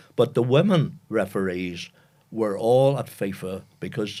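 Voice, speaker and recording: A man speaks in a Northern Irish accent at a fairly low pitch with lively intonation. The recording is very clean, with a silent background. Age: 80s+. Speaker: retired football administrator. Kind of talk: interview storytelling.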